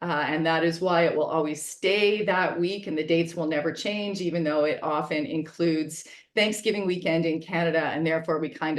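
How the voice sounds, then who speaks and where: A woman talks with hardly any pauses, her pitch fairly low and her intonation fairly even. Audible room echo surrounds her voice. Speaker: fire safety public education director. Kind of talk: webinar presentation. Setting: video call. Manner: fast.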